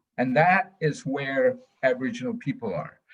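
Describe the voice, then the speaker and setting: A man's fairly high, somewhat breathy voice with very wide pitch swings. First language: Dene language. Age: 60s. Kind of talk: webinar talk. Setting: video call. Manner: halting.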